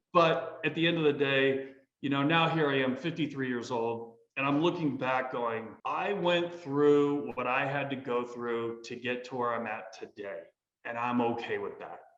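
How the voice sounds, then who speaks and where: A man with an American accent at a fairly high pitch, ordinary pitch variation and moderate pace, in audible room echo. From US Midwest (northwestern Indiana, Columbus, Ohio). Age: 50s. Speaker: army veteran and real estate businessman. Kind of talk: casual interview. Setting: studio.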